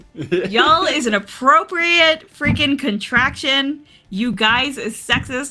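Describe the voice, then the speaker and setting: With music in the background, this woman talks at a fairly slow pace using lively intonation. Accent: American. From US South. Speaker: tabletop game master. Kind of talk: tabletop roleplay narration.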